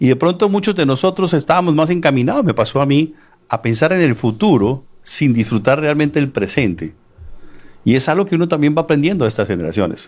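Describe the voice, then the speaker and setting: In a very clean recording with a silent background, a man with a fairly high pitch and vocal fry speaks at a fairly quick pace, his intonation lively and his loudness very even. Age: 60s. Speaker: author and real estate businessman. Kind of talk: interview.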